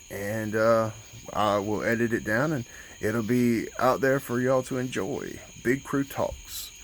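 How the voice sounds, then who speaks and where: In a strong Southern US accent, a man speaks at a fairly slow pace with a medium pitch. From US South, southern Alabama. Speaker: YouTuber. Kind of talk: casual vlog talk.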